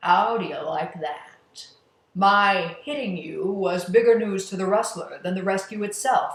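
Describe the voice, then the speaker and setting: A put-on character voice at a middle pitch goes at a fairly slow pace, with slight echo. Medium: read story. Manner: controlling, menacing.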